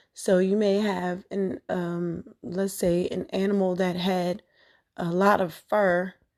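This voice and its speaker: A woman speaks at a very slow pace in a monotone, flat intonation. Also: medium pitch for a woman. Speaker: spiritual podcast host. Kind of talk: spiritual talk. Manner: hesitant, many fillers.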